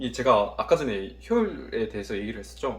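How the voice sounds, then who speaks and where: The room gives off audible echo. The speaker is a man. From Korea, Daegu. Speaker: university student vlogger. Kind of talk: study vlog, self-review of notes. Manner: casual, thinking aloud.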